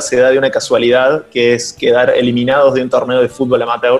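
A man talks at a fairly quick pace and medium pitch in a monotone, flat way. Noticeable background noise runs underneath. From Argentina, Córdoba. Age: 30s. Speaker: tech startup founder. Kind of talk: interview. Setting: remote call.

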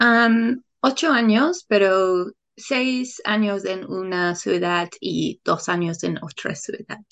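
A woman with an English accent talks very slowly at medium pitch, her intonation lively. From England. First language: English (speaking Spanish). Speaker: Spanish learner and English teacher. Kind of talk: casual interview. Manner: halting, many fillers.

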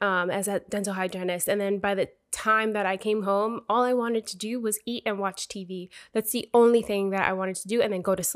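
On a very clean recording with a silent background, a woman talks at a fairly quick pace and medium pitch. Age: 20s. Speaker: motivational podcast host. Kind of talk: motivational monologue. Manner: animated.

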